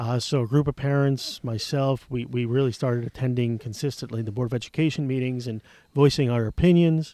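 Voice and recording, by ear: A man's dark, mellow voice at medium pitch with an American accent, fairly even intonation, and a moderate pace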